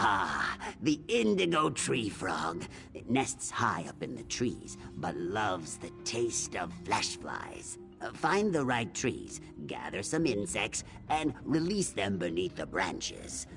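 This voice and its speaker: Delivered at a fairly slow pace, a put-on character voice plays over clear music in the background. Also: man. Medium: video game. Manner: detailed, instructive.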